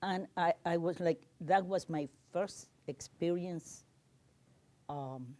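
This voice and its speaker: A woman's dark, mellow voice at a fairly low pitch, very slow in pace, with ordinary pitch variation and long, frequent pauses. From Cuba. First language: Spanish. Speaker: community panelist. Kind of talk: panel discussion. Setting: livestreamed panel event.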